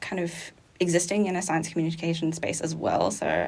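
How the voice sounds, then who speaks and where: A woman with an Australian accent. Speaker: zoology student. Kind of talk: interview. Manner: clear, good pace.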